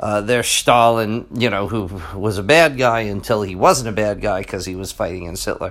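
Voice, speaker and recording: A man's fairly low voice at a moderate pace, ordinary pitch variation, hardly any pauses, and an unremarkable speaking voice. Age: 40s. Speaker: history teacher and podcast host. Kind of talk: solo podcast monologue. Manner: casual with many fillers.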